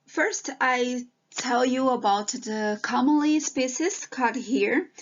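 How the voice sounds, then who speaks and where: A high-pitched woman with a Brazilian Portuguese accent, very slow, with lively intonation. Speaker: PhD student researcher. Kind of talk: online presentation. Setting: video call with screen share. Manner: hesitant, with fillers and restarts.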